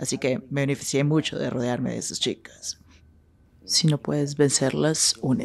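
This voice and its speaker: This woman's pitch is very deep and low, with vocal fry. She speaks at a moderate pace with ordinary pitch variation. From Northern California, Sacramento; California. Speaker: sex worker; interviewee. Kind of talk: interview. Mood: bold, frank, confident. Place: studio.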